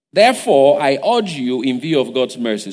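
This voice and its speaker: With a Nigerian accent, a man talks with vocal fry and very wide pitch swings. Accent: Nigerian (Yoruba) English. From Nigeria (Igbajo, Osun State). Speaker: guest preacher. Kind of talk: sermon. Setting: church service.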